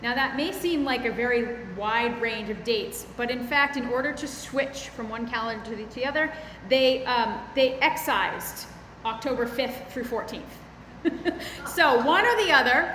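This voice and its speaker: Over noticeable background noise, a woman speaks at a moderate pace in a high voice with ordinary pitch variation. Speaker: minister, preacher. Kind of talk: sermon delivered to a congregation. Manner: conversational, explanatory with hesitations.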